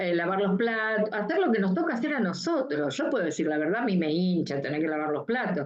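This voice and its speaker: Her pitch sits at a medium level for a woman. It swings very widely as she speaks. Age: 60s. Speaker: mental health professional. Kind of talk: talk. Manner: uses filler 'eh' and repeated '¿sí?'.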